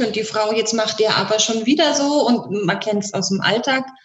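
A woman's somewhat breathy voice, fairly high in pitch with ordinary pitch variation, at a fairly slow pace. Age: 40s. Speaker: sex coach and bodywork practitioner. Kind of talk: casual interview chat.

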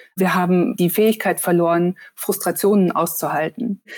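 Her voice sits at a medium pitch for a woman. She talks at a moderate pace with fairly even intonation. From Germany, northern Hesse near Kassel. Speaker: journalist and author. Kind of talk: casual interview. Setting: video call.

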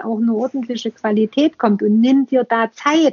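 A woman with a Saxon accent. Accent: Saxon dialect, noticeable. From Saxony, eastern Germany. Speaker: museum podcaster. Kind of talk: casual interview conversation.

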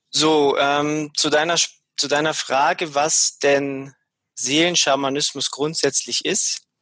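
Against a quiet background, a man speaks very slowly in a bright, sharp tone. His intonation stays flat and monotone, and his loudness is very even. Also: fairly high pitch for a man. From Bavaria, Munich area. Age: 40s. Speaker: shaman. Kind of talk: interview. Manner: hesitant, frequent fillers.

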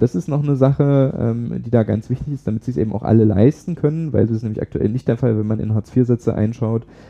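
Talking very fast, a man holds a medium pitch. His pitch shows ordinary variation. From Saxony, eastern Germany (Pirna area). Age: 20s. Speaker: young politician and parliamentary candidate. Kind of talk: interview.

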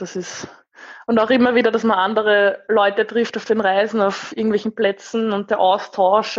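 Against a quiet background, a woman talks with fairly even intonation. She has an ordinary speaking voice. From Austria, Lower Austria. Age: 20s. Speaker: van traveller. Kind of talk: interview.

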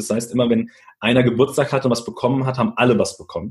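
A somewhat breathy man speaks very fast, with a medium pitch and fairly even intonation. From Germany, Italian immigrant family. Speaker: leadership speaker. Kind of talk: interview.

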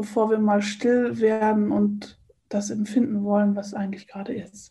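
A woman talks fairly slowly, her voice somewhat breathy with a dark, mellow tone. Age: 50s. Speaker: coach and eating trainer. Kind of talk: interview.

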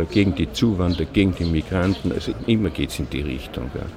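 A man with a very deep, low voice speaks in an Austrian accent against noticeable background noise. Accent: clear Austrian dialect. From Austria, Linz, Upper Austria. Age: 60s. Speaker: retired police digital forensics investigator. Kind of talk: interview. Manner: talkative.

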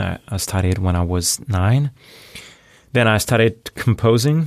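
A man with a French accent talks in a fairly low voice with ordinary pitch variation. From France. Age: 40s. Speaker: audio branding agency founder. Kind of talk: interview.

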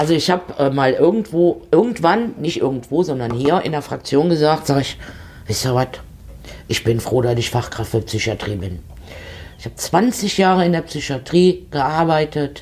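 A woman with a very deep, low pitch speaks at a moderate pace, her pitch swinging very widely. Noticeable background noise is present. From eastern Germany. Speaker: podcast host, politician and elderly-care nurse. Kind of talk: casual chat.

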